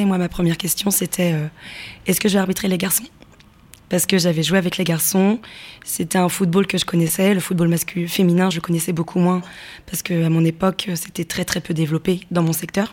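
Her intonation flat and monotone, a woman talks at a fairly quick pace. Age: 20s. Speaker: football referee. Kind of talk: interview.

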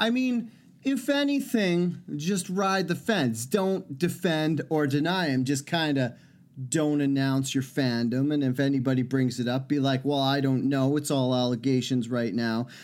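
In a normal speaking voice, a man talks at a fairly high pitch with ordinary pitch variation and very even loudness, on a very clean recording with a silent background. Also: fairly slow pace. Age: 30s. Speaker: podcast co-host. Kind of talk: casual chat.

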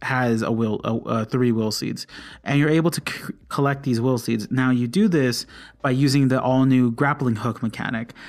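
The voice is a plain, everyday voice with ordinary pitch variation at a moderate pace, on a very clean recording with a silent background. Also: man. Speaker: podcast host, gamer. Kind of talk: casual solo podcast monologue. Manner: informal with frequent fillers.

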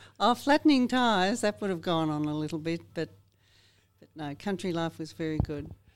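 Against a very clean, silent background, a woman with an Australian accent speaks at a moderate pace and a fairly low pitch, with lively intonation and big swings in loudness. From Australia, north-west Victoria. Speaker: farmer. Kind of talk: interview.

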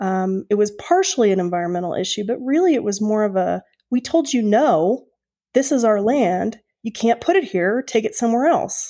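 A woman with an American accent, a fairly high pitch, a dark, mellow tone, lively intonation, and a moderate pace, on a very clean recording with a silent background. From Oklahoma. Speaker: Native community activist. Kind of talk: interview conversation.

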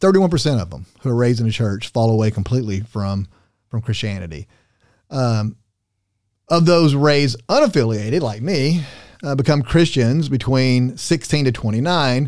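A normal speaking voice, a man at medium pitch, with a moderate pace and lively intonation. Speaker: pastor. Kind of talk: casual chat.

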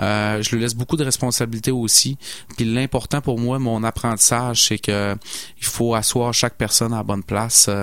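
Speaking with a Saguenay accent, a man of medium pitch keeps a moderate pace and fairly even intonation. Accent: Saguenay Quebec French. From Saguenay, Quebec. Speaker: landscaping entrepreneur. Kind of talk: radio interview.

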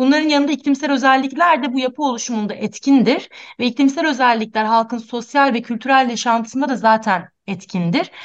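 Speaking at a fairly quick pace with hardly any pauses, a woman uses a high pitch and ordinary pitch variation. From Antakya, Turkey. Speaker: architect. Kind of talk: radio interview, prepared talk.

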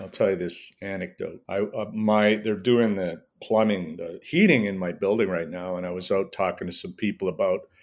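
A man in a Canadian accent has an unremarkable speaking voice at a moderate pace, on a very clean recording with a silent background. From Edmonton, Alberta, Canada. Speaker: former city councillor and journalist. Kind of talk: casual interview.

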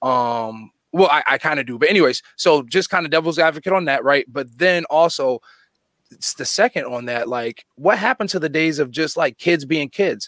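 With an American accent and an unremarkable speaking voice, a man talks at a moderate pace and a fairly high pitch, his intonation lively, in a dry, close sound with no echo. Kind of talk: casual debate. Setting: video call.

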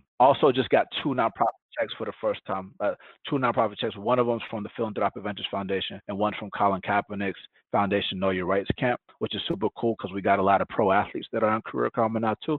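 Very fast speech from a man, fairly low in pitch and with ordinary pitch variation. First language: Spanish. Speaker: tech startup founder. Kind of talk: podcast interview.

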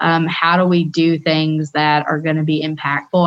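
At a moderate pace, a woman speaks in a flat monotone with a very deep, low pitch. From Tennessee, suburban area. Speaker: state government broadband official. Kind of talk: radio interview. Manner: hesitant, many fillers.

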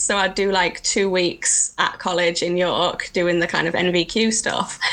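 With an English accent, a woman talks at a medium pitch. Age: 30s. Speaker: heritage stonemason. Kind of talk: casual interview chat.

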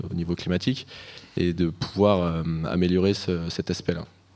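Speaking in a monotone, flat intonation, a man with a very deep, low pitch keeps a moderate pace. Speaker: master's student. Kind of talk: radio interview.

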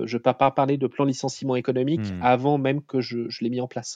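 A man's medium-pitched voice in a dark, mellow tone, fairly even intonation, dry, close sound with no echo, over a quiet background. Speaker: startup CEO and founder, former autonomous vehicle researcher. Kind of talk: interview. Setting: remote recording from home. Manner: halting, many repetitions and hesitations.

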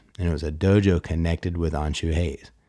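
On a very clean recording with a silent background, a man with a very deep, low pitch and a dark, mellow tone speaks in a flat monotone. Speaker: podcast host and martial arts instructor. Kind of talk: podcast intro and interview questions.

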